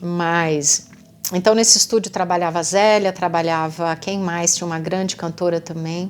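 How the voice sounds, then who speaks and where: The speech is fairly slow. It comes from a woman with a fairly low pitch. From interior of São Paulo state, Brazil. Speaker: singer and songwriter. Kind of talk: casual storytelling monologue. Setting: self-recorded at night. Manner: halting, with many false starts.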